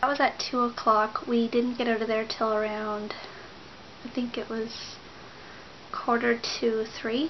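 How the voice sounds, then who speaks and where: Light background noise sits under a fairly slow, monotone delivery with flat intonation. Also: woman. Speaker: pregnancy vlogger; pregnant vlogger. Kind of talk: casual vlog update. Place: home room. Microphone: webcam.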